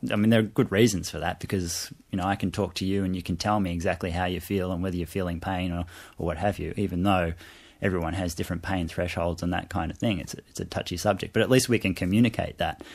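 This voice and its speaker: Talking at a very fast pace, a man uses a very deep, low pitch. His intonation is fairly even. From Asia (Hong Kong, Malaysia) and Australia, moved around. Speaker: fish biologist and university lecturer. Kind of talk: radio interview. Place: studio.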